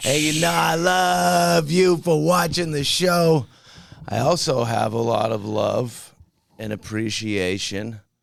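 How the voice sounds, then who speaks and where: Speaking at a very slow pace, a man moves through very wide pitch swings. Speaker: podcast host. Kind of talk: podcast intro. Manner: high energy, upbeat.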